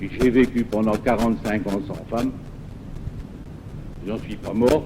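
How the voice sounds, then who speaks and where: There is noticeable background noise as a man speaks at a very slow pace. His pitch is medium and his intonation fairly even. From France, Lorraine. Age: 70s. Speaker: former priest turned pastor. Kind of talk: testimony. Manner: halting.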